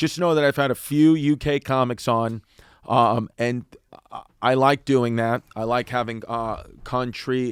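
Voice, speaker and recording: A man with an American accent uses an ordinary speaking voice at medium pitch, fairly even in intonation and fairly slow, the sound dry and close with no echo. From United States. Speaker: stand-up comedian. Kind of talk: casual podcast conversation.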